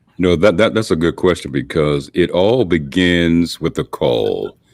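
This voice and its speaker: A man with a very deep, low pitch speaks at a fairly slow pace. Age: 60s. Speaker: pastor and church conference president. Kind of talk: interview. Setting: video call from his office.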